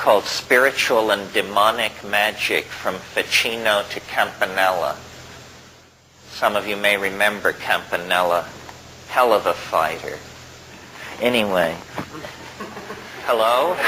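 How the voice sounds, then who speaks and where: A man speaks at a fairly slow pace in a fairly low pitch, with fairly even intonation. Long, frequent pauses break up his speech over noticeable background noise. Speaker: lecturer, philosopher. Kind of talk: lecture to an audience.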